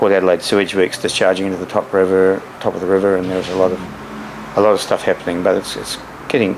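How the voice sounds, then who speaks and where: Noticeable background noise sits behind a man with an Australian accent and a very deep, low pitch. He talks very fast in a monotone, flat delivery. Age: 60s. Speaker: dolphin researcher. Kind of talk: interview. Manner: halting.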